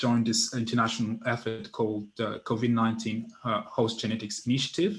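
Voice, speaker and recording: A man with a non-native accent speaks at a moderate pace, showing ordinary pitch variation. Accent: noticeable non-native. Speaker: genetics researcher. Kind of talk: scientific presentation. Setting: virtual event. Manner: hesitant, many fillers.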